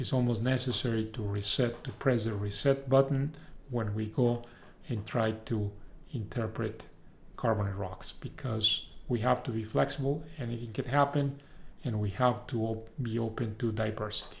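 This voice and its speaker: In a room with audible echo, a man speaks at a moderate pace, somewhat breathy, with fairly even intonation. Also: medium pitch for a man. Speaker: university professor. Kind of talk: lecture. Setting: recorded video lecture.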